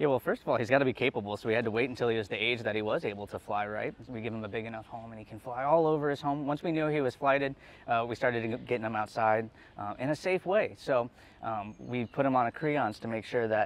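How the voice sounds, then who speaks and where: A very fast man's voice with ordinary pitch variation, dry and free of echo. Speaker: zoo bird trainer. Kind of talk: interview answer. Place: stage.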